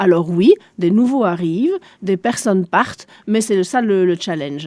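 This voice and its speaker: Dark and mellow, a woman's voice moves at a fairly slow pace with ordinary pitch variation. The sound is dry and close, with no echo. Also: medium pitch for a woman. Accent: German. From Belgium, Spa area (German-speaking east). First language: German (speaking French). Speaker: shopping centre director. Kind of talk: radio interview.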